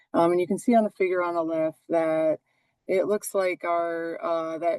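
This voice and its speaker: A woman with a normal speaking voice, fairly low in pitch, with fairly even intonation at a moderate pace, in a dry, close sound with no echo. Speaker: forest manager. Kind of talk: webinar presentation.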